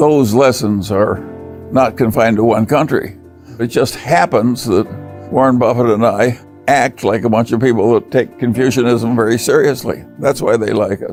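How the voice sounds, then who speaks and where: A man's medium-pitched voice with an American accent and ordinary pitch variation, music in the background. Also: moderate pace. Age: old. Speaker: investor and business executive. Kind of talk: speech or interview answers on investing.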